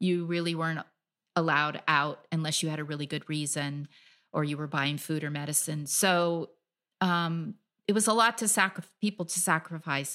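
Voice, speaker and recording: Very clean recording over a silent background: a woman with a very deep, low pitch, a bright, sharp tone and fairly even intonation. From US (California). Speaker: freelance travel writer. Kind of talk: interview.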